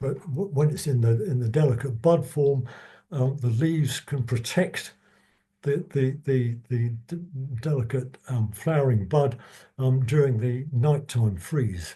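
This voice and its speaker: A dark, mellow, somewhat breathy tone at a fairly slow pace, with ordinary pitch variation and audible room echo. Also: man. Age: 70s. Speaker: retired biologist giving a talk. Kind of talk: lecture. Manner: halting, many repetitions and stutters.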